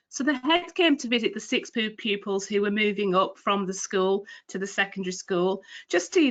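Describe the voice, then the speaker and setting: In a Cumbrian accent, a woman speaks at a moderate pace and medium pitch against a quiet background. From northern England, Cumbria. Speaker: retail trading and delivery manager. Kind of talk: career talk in a webinar. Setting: online webinar.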